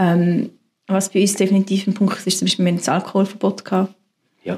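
A woman talks at a medium pitch, her voice somewhat breathy. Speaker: pastor. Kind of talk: interview testimony.

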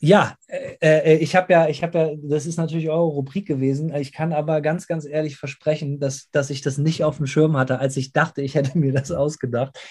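A man with a fairly high pitch speaks at a fairly quick pace, somewhat breathy and in a monotone, flat intonation. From Germany. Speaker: metal band singer. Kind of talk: interview. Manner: casual, with English interjections.

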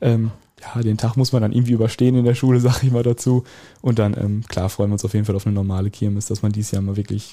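Delivered very fast in a flat monotone, the voice is somewhat breathy with a dark, mellow tone. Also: man. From Westphalia, Germany (Soest district village). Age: 18. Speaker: student representative. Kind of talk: casual chat.

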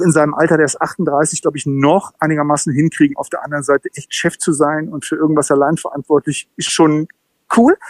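A man speaks at a fairly quick pace with a fairly high pitch and fairly even intonation. The sound is dry and close, with no echo. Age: 50s. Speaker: football commentator. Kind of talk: casual interview.

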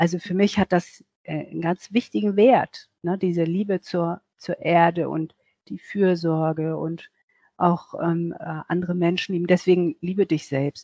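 Here is an ordinary speaking voice from a woman at a fairly low pitch. She goes fairly slowly with fairly even intonation. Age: 60s. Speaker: self-love and appearance coach. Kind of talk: interview.

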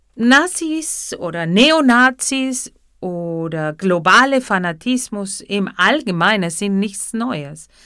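Very wide pitch swings mark this bright, sharp voice with a Spanish accent, spoken at a very slow pace in a very clean recording with a silent background. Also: woman, medium pitch for a woman. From Argentina. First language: Spanish (speaking German). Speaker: psychotherapy practitioner and podcaster. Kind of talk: reflective monologue.

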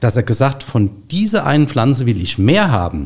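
At a moderate pace, a man talks at a medium pitch with very wide pitch swings and a somewhat breathy sound. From Rheinhessen, Germany. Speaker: grapevine nursery owner. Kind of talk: interview. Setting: studio.

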